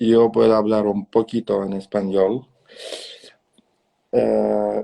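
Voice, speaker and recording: A man speaks at a fairly slow pace. The sound is dry and close, with no echo. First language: Russian. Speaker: dance event organizer and live stream host. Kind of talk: live interview chat. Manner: halting.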